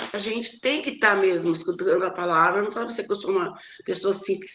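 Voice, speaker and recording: A woman talks at a medium pitch while noticeable noise fills the background. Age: 70s. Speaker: church member. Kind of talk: testimony. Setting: Bible study class. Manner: halting.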